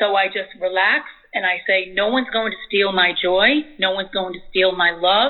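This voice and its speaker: A woman's plain, everyday voice, medium-pitched, with ordinary pitch variation and a moderate pace. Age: 50s. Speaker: visual artist. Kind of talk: interview. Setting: phone call.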